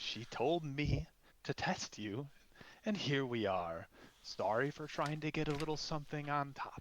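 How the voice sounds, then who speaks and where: A man puts on a character voice, fairly high in pitch, and talks at a moderate pace. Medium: actual play. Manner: mocking, taunting.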